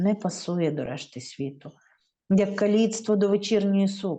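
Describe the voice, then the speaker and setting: In a Ukrainian accent, a woman talks at a moderate pace with a dark, mellow tone and ordinary pitch variation. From Lviv, Ukraine. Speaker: poet. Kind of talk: poetry reading in Ukrainian.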